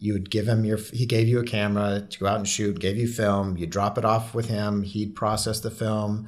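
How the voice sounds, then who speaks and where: A man's fairly low, monotone, flat voice at a moderate pace with hardly any pauses, in audible room echo. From moved around the US (born in Hawaii). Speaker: photographer. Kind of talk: interview.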